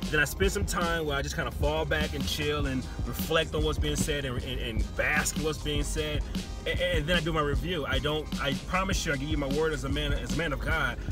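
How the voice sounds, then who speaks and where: A man at a fairly quick pace in a dry sound with no echo, with clear music in the background. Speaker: music album reviewer. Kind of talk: casual vlog chat. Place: car. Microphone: phone near.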